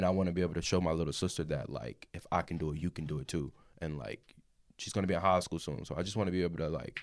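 On a very clean recording with a silent background, a man with a very deep, low pitch and vocal fry talks at a very fast pace with ordinary pitch variation. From small town. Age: young. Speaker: content creator. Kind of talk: casual chat.

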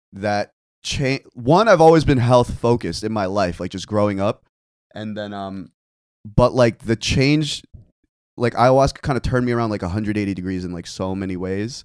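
Big swings in loudness run through a man's plain, everyday voice. He speaks at a fairly low pitch and a moderate pace, with ordinary pitch variation. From New Jersey (Fort Lee), born in Korea. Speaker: bartender and content creator. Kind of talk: casual chat.

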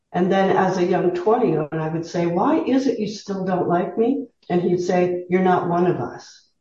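A woman with a Canadian accent has an ordinary speaking voice at a medium pitch, talking at a moderate pace with ordinary pitch variation and hardly any pauses. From Southern Ontario, Canada. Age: 60s. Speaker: retired teacher, interview guest. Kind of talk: casual interview.

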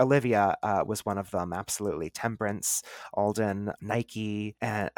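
This man has an ordinary speaking voice with a fairly low pitch and fairly even intonation, talking at a moderate pace in a very clean recording with a silent background and a dry, close sound with no echo. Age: 30s. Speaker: witchcraft author and podcaster. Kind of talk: casual interview chat.

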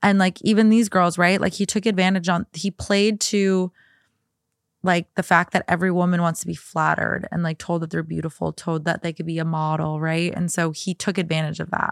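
A woman at a fairly low pitch, fairly quick and monotone with flat intonation, dry and close with no echo on a very clean recording with a silent background. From US Midwest, Minnesota. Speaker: podcast guest co-host. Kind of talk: casual chat.

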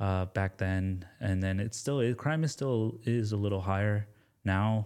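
With an American accent, a man talks in a dark, mellow tone. He keeps a moderate pace and fairly even intonation. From US South, Atlanta suburbs. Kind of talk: casual interview.

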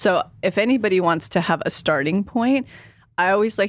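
An unremarkable speaking voice moves at a moderate pace with lively intonation on a very clean recording with a silent background. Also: woman. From California Central Valley. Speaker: manifestation coach. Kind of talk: casual interview chat.

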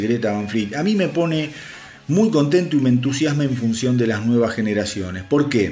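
A man with a medium pitch and lively intonation talks over noticeable background noise. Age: 50s. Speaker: rock news podcast host. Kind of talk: solo news podcast monologue. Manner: animated, with many hesitations.

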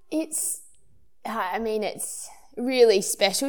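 The speaker is a woman with an Australian accent. Her recording is very clean, and nothing can be heard behind her. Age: 30s. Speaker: Olympic marathon runner. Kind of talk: interview.

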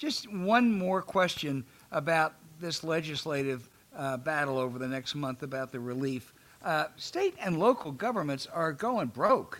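This man has a plain, everyday voice with fairly high pitch. He talks at a fairly slow pace with lively intonation. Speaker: podcast host. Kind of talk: interview.

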